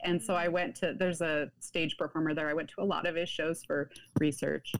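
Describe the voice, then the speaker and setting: With an American accent and a very deep, low pitch, a woman speaks at a very fast pace. Her intonation stays fairly even. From US Pacific Northwest, Washington. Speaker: author. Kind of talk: interview. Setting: video call.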